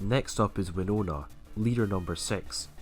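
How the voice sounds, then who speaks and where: A man's lively intonation over music in the background. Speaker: gaming video creator. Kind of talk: game commentary narration.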